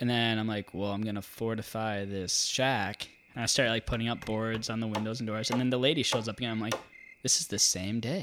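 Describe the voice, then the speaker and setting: In an ordinary speaking voice, a man talks at a fairly quick pace with an American accent. His pitch is medium and his intonation fairly even. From Twin Cities area, Minnesota, US. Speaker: podcast guest sharing dreams. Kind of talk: casual chat, storytelling. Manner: casual, jokey, filler-heavy.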